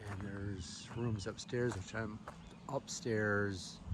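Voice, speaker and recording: Soft-spoken and fairly low in pitch, a man talks with fairly even intonation amid audible room echo. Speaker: hiker vlogger. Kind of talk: casual vlog narration. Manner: soft-spoken, talking low.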